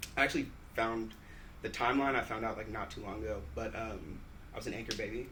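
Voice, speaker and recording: Heard with audible room echo, a man with an American accent speaks at a moderate pace in a medium pitch. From US Pacific Northwest (Tacoma, Washington). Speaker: business development worker. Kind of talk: casual chat.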